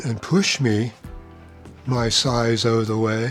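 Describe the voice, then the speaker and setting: A man talks in a medium-pitched voice. Behind him, music is playing. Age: 80s+. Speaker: amateur science explainer. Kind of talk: casual talk to camera.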